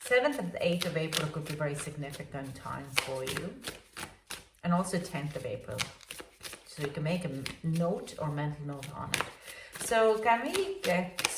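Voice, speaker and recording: Over noticeable background noise and audible room echo, a woman with a fairly low pitch speaks at a moderate pace with lively intonation. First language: not English. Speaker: tarot reader. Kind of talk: tarot reading. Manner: halting, many fillers.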